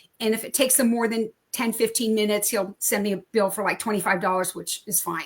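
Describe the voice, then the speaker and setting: At a very fast pace, a woman speaks in a fairly high pitch with fairly even intonation. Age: 70s. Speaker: knitting and sewing business owner. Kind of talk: interview.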